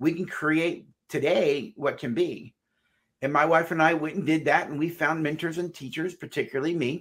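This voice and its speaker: Against a quiet background, a man with an unremarkable speaking voice and a fairly high pitch speaks at a moderate pace. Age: 60s. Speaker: marriage counselor and psychologist. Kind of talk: interview. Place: office.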